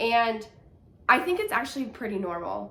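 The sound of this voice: A woman talks at a moderate pace with a nasal, fairly bright tone and vocal fry.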